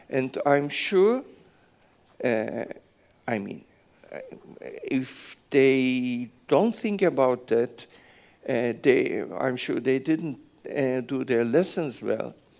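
A man with a Turkish accent speaks at a very slow pace. He leaves long, frequent pauses. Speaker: business executive. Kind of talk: fireside chat. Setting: stage with audience. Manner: halting.

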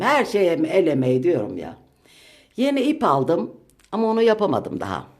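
A woman talks at a medium pitch with very wide swings in pitch. Her voice has vocal fry. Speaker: home vlogger. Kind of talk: home tour vlog. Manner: deliberately slow.

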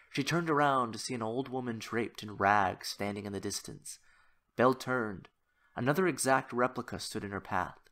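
The background is quiet. Text is read aloud in a natural voice with ordinary pitch variation.

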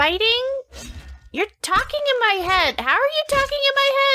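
Doing a squeaky, put-on character voice, a woman speaks at an extremely high pitch and a moderate pace, with lively intonation and very even loudness. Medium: actual play. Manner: sarcastic.

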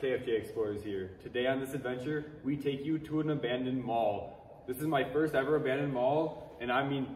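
Against light background noise and audible room echo, a man talks at a fairly quick pace with fairly even intonation. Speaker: urban explorer host. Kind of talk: casual vlog chat. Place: hall. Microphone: camera far.

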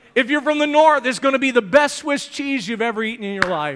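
A man's extremely high, raised and projected voice has an animated, bright and sharp tone. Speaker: preacher. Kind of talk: sermon. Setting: church. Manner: animated, exhorting the congregation with 'amen' prompts. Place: church.

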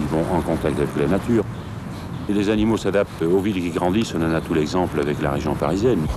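A man's voice over loud background noise, dry with no echo. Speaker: game warden. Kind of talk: interview answer. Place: waterside.

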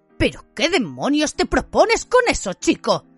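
The speaker puts on a character voice that sounds shaky, at a moderate pace. Faint music plays in the background. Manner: trembling with rage.

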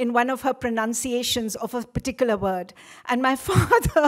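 A woman speaks at a moderate pace in a high voice against a quiet background. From India. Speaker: event organizer. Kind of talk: formal welcome speech. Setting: lecture hall with audience. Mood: warm, reminiscent. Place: hall. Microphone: podium.

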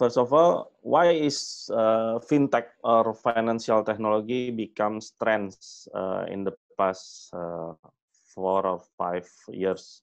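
A man with an Indonesian accent speaks at a very slow pace against a quiet background. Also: ordinary pitch variation. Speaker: fintech executive; fintech company founder guest lecturer. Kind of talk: lecture. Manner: halting. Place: home room. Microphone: webcam.

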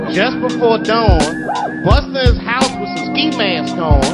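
Loud music plays in the background as a man speaks at a very slow pace. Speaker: comedian. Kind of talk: comedic poetry performance to live audience. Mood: wry, comedic, rhythmic. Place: stage. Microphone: handheld.

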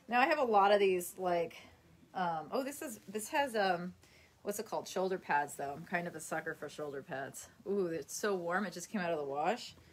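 A woman with an unremarkable speaking voice and a fairly low pitch talks at a moderate pace, her intonation lively and her loudness swinging widely. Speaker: livestreamer. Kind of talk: casual livestream chat. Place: home room. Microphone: phone near.

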